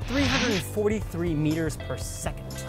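Over loud music in the background, a man's voice comes through with a dry sound and no echo. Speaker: science educator. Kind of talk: science explainer to camera. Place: garden.

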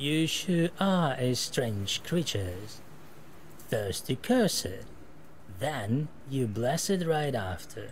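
A man uses a put-on character voice that is creaky and very slow. Long, frequent pauses break up his speech over clear background noise. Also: medium pitch for a man.

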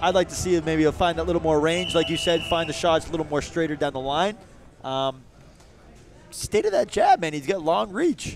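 A man talks at a fairly quick pace with ordinary pitch variation. The sound is dry with no echo, and there is light background noise. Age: 20s. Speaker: boxing commentator, active professional boxer. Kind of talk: live fight commentary. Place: hall.

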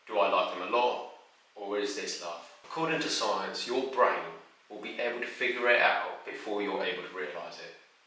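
A man speaks at a moderate pace. There is audible echo from the room. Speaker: relationship advice creator. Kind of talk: advice talk to camera. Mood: calm, warm, earnest. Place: home room.

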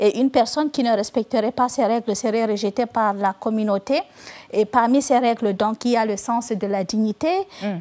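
At a moderate pace, a woman speaks with a dark, mellow tone, fairly high pitch and fairly even intonation. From Northern Cameroon. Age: 40s. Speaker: novelist. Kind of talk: TV interview answer. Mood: calm, earnest. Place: studio. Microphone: lapel.

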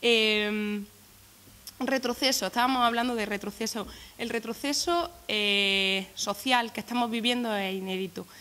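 A woman's fairly high voice, bright and sharp in tone, moves at a fairly slow pace. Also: ordinary pitch variation. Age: 20s. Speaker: youth political activist. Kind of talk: press conference statement. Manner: halting, many repetitions.

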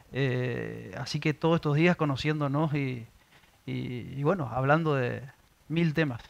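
A man's fairly high pitch, with fairly even intonation and a fairly slow pace. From Argentina, Resistencia (Chaco); Chaco, Argentina. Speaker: municipal ombudsman; public interviewee. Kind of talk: interview. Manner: halting, many fillers. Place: studio. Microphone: headset.

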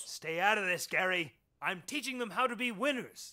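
A man's cartoonish character voice, high-pitched, bright and sharp in tone, with lively intonation on a very clean recording with a silent background. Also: moderate pace.

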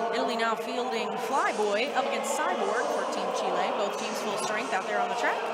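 Moderate-paced speech with an American accent over loud background noise. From US South, Arkansas. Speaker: sports commentator. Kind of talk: live commentary. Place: hall.

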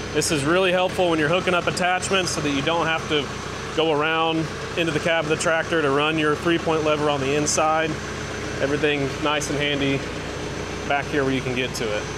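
At a fairly quick pace, a man speaks through noticeable background noise. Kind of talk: tutorial. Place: workshop. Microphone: phone near.

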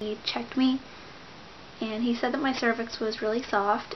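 A woman talks fairly quickly in a monotone, flat way at a fairly high pitch, with light background noise. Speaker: pregnancy vlogger; pregnant vlogger. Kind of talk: casual vlog update. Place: home room. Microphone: webcam.

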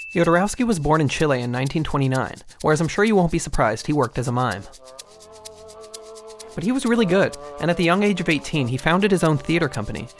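Very fast speech with music in the background. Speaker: video essay narrator. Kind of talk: documentary narration.

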